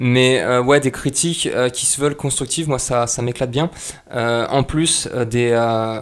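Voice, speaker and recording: The man's medium-pitched voice has fairly even intonation and moves at a fairly slow pace. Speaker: YouTube channel creator. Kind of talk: casual channel update vlog. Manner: halting, many fillers.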